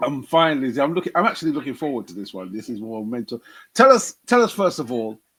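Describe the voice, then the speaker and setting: A man with a British accent talks at a very fast pace in a fairly high pitch, with very wide pitch swings and big swings in loudness, on a very clean recording with a silent background. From UK. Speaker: comedian and podcast host. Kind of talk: interview.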